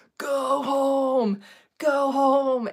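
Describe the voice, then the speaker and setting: A woman shouting in a high-pitched put-on character voice. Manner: yelling, commanding.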